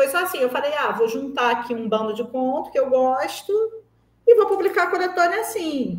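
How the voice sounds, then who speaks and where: A woman with a high pitch speaks at a moderate pace, her pitch swinging very widely. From Brazil, Rio de Janeiro. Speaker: writer and screenwriter. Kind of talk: interview. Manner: conversational, with frequent fillers.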